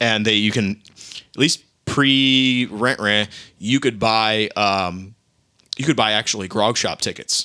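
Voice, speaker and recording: Very slowly, a man speaks in a bright, sharp tone, his fairly low pitch held to fairly even intonation. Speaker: podcast co-host. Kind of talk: casual chat.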